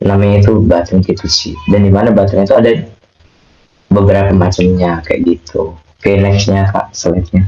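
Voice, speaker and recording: A man speaks at a moderate pace in a fairly low, somewhat breathy voice. His tone is dark and mellow, his intonation monotone and flat. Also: very even loudness. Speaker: UI/UX design speaker. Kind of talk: online workshop talk. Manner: casual, chatty.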